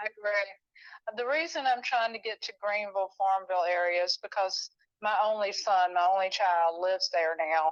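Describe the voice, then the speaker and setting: Delivered at a moderate pace with hardly any pauses, a plain, everyday voice shows ordinary pitch variation in a dry, close sound with no echo. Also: woman, medium pitch for a woman. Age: 60s. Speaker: home seller. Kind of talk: casual chat. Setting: phone call.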